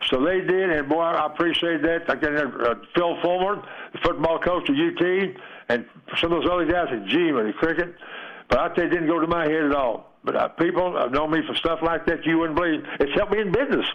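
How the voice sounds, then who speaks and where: A man with an East Tennessee accent speaks at a very fast pace, his high pitch showing ordinary variation. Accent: Southern US, East Tennessee. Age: 80s+. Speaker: retired baseball player. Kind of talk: phone interview. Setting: phone call.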